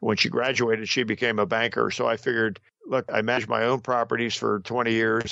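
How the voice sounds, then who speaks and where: Speaking very fast, a man has a New Jersey accent. His medium-pitched voice stays monotone, with flat intonation. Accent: American, New Jersey. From Southern New Jersey. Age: 70s. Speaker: real estate investor; war veteran. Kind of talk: podcast interview answer.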